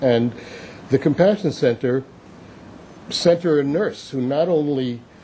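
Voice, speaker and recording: Clear background noise sits under this male voice. His delivery is neither fast nor slow, and his pitch moves in a typical way. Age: 70s. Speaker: public commenter at city hearing. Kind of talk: public testimony. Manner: halting.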